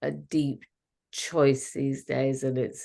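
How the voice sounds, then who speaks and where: The voice has a dark, mellow tone. It carries an English accent. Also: woman. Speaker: fertility expert. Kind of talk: casual chat. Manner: halting.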